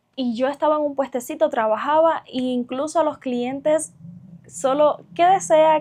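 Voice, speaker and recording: A Cuban accent at a fairly slow pace with ordinary pitch variation. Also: woman. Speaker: vlogger. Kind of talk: casual vlog monologue. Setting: sitting on her bed at home.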